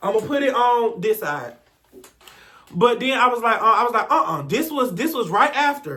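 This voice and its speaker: A man with an extremely high pitch uses a raised, projected voice with a bright, sharp, animated tone at a moderate pace. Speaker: youtuber telling personal stories, former school staff. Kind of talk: story time monologue. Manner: stuttering at times.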